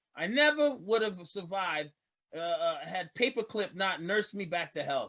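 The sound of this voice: Using a put-on character voice, a man speaks at a high pitch and a fairly slow pace. His tone is bright and sharp, with lively intonation.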